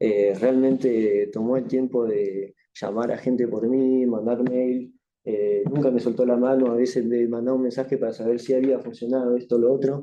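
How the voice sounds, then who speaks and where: With a French accent, a man speaks at a moderate pace and medium pitch in monotone, flat intonation, with very even loudness and hardly any pauses. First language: French (speaking Spanish). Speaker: author. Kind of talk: book launch speech with thanks. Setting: university event with live audience. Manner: halting.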